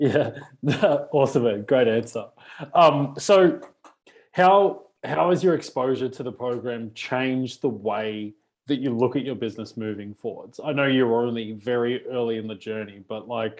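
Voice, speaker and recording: With an Australian accent, a man speaks at a medium pitch and a moderate pace. His pitch varies in an ordinary way. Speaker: business coach. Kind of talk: interview.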